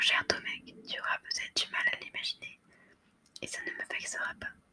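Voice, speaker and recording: Noticeable background noise sits behind a whisper delivered at a moderate pace. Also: woman. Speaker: ASMR content creator. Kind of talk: whispered ASMR story reading for sleep. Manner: whispered, soft.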